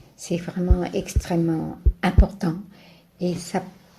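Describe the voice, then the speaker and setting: Somewhat breathy and dark, mellow in tone, a woman's voice moves at a very slow pace with monotone, flat intonation. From France, Paris. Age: 80s+. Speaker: retiree interviewee. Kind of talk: interview.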